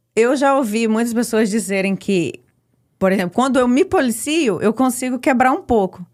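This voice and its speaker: A woman's fairly high voice with lively intonation and very even loudness at a moderate pace, an ordinary speaking voice, in a very clean recording with a silent background. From Brazil, Espírito Santo. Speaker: immigrant sharing life story. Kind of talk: podcast interview.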